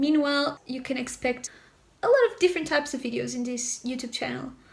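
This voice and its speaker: In a Portuguese accent, a woman with a high pitch speaks at a fairly quick pace. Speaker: YouTuber. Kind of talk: casual vlog talk to camera.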